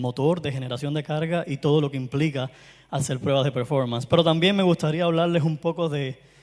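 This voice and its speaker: In a strong Cuban accent, a man speaks at a moderate pace and fairly high pitch with ordinary pitch variation, in a very clean recording with a silent background. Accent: Caribbean Cuban Spanish, strong. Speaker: performance tester, conference speaker. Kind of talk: conference talk.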